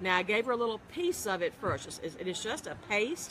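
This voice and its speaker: A woman with a Southern US accent speaks at a moderate pace and medium pitch, with noticeable background noise behind her. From US South. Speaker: pet blogger. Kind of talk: live interview.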